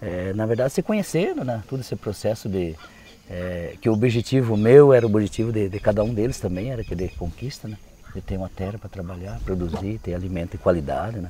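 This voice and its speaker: In a dark, mellow, somewhat breathy tone, the voice moves at a fairly quick pace with ordinary pitch variation and big swings in loudness. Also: man, fairly low pitch for a man. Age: 60s. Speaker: landless movement settler, farmer. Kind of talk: interview testimony. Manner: halting, many fillers.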